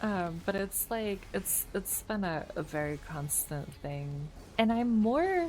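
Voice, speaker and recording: A soft-spoken woman talks at a very slow pace and medium pitch. Her pitch swings very widely. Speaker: video game streamer. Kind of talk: casual chat. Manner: vocally unemotive, mellow.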